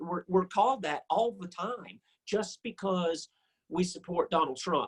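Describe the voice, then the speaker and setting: A man with a Southern US accent, fairly slow pace and ordinary pitch variation, in a dry, close sound with no echo. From US South. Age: 60s. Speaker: musician. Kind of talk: interview.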